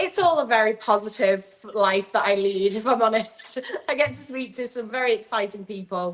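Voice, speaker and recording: At a moderate pace, a woman speaks with a fairly high pitch and ordinary pitch variation amid noticeable background noise. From Southport, Merseyside, northern England. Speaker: magazine editor and podcast co-host. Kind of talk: casual podcast chat.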